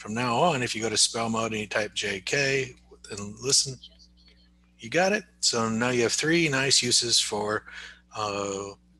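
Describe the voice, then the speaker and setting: A man speaks in an ordinary speaking voice at a moderate pace and medium pitch, with ordinary pitch variation. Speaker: speech therapist / AAC trainer. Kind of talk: tutorial. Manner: casual, conversational.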